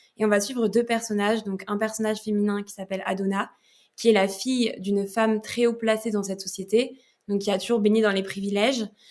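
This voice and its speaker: A woman at a fairly quick pace, her intonation monotone and flat. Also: medium pitch for a woman. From France. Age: 20s. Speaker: novelist. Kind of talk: podcast interview. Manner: hesitant, many fillers.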